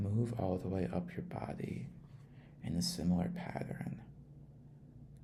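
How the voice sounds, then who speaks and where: Someone whispers in a soft-spoken, calm way at a very slow pace. Music plays in the background. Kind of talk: ASMR trip-sitter role-play guiding relaxation and sleep. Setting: close mono microphone recording. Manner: soft-spoken, calm, with some whispering.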